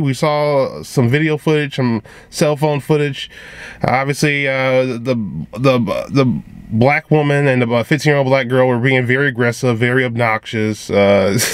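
With a dry sound and no echo, a man speaks at a moderate pace with ordinary pitch variation. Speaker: vlogger. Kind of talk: commentary. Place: car. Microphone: phone near.

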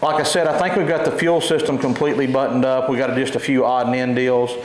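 Audible room echo surrounds the voice. Light background noise is present. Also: man. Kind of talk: casual vlog chat. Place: workshop.

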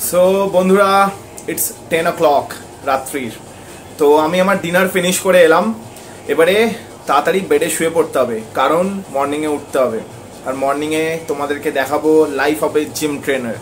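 The voice shows ordinary pitch variation, with light background noise. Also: man. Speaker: gym trainer vlogger. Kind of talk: casual vlog chat. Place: home room. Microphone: lapel.

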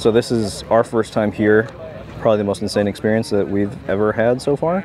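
With noticeable background noise and a dry sound with no echo, a man with a fairly low pitch speaks at a moderate pace. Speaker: car vlogger. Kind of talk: casual vlog chat. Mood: excited, amazed. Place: open country. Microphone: phone near.

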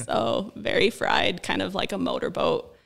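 A man puts on a creaky character voice. He goes at a moderate pace. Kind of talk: interview answer.

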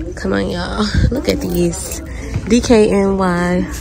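A woman speaks at a very slow pace, the sound dry with no echo, over noticeable background noise. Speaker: shopping vlogger. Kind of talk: casual vlog chat. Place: shop. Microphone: phone near.

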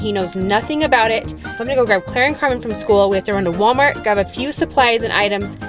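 A woman talks at a very fast pace with ordinary pitch variation. The sound is dry with no echo, and clear music plays in the background. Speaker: family vlogger mother. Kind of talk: casual vlog chat.

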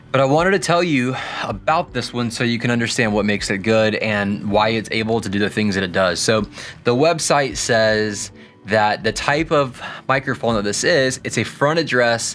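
Moderate pacing with faint music in the background. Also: man. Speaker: guitar gear youtuber. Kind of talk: casual review commentary. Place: studio.

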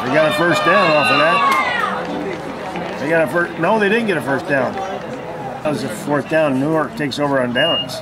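The speaker talks at a fairly slow pace with hardly any pauses. Loud background noise runs underneath. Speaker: spectator filming the game. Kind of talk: live commentary. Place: stadium. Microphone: phone near.

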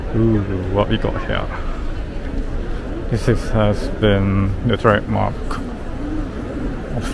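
Loud background noise runs under a man speaking at a very slow pace. The sound itself is dry, without echo. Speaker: travel vlogger. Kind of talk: casual vlog chat. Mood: excited, anticipating. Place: hall. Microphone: phone near.

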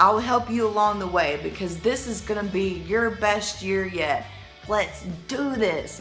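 A woman talks at a moderate speed while soft music plays faintly behind her. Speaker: motivational vlogger. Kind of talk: casual vlog chat. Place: home room. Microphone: phone near.

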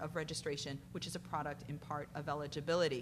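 A woman's somewhat breathy voice at a fairly quick pace, with light background noise. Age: 40s. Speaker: civil rights lawyer. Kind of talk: conference panel talk. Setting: stage with audience. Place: hall. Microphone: podium.

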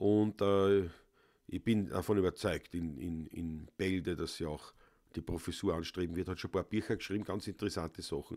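Speaking at a moderate pace with a Viennese accent, a man uses a very deep, low, dark, mellow voice with fairly even intonation over a quiet background. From Vienna, Austria; Austria. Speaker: Viennese folk musician, livestream host; livestream host. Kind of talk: casual chat. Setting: home studio livestream. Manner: loud. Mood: relaxed, thoughtful. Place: home room.

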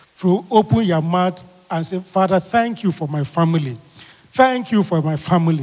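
Against a quiet background, a man speaks at a moderate pace in a high pitch with lively intonation. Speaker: pastor leading prayer. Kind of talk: fervent prayer and sermon-style thanksgiving, with repeated call-and-response cues. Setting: live church prayer meeting streamed online. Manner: earnest, rhythmic, repeating phrases for emphasis. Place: church. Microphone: handheld.

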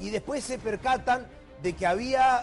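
A man talks at a moderate speed while music plays faintly behind him. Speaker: TV presenter. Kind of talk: news commentary. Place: studio. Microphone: lapel.

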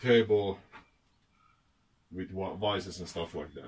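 A somewhat breathy man's voice at a very slow pace. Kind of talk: casual vlog chat. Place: garage.

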